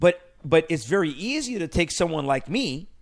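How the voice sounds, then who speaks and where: Here a man speaks at a fairly high pitch. His pitch swings very widely. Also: quiet background. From Iran. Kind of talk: radio talk show discussion. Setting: studio.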